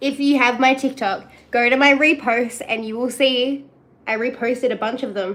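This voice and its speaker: At a moderate pace, a woman with a high pitch talks with big swings in loudness. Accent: strong Australian. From Australia. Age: 20s. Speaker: streamer. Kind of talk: casual chat. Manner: animated.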